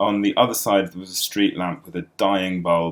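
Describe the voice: The text is read aloud plainly. Intonation is fairly even throughout.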